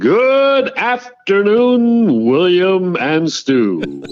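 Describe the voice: A man's put-on character voice, high-pitched, with very wide pitch swings at a very slow pace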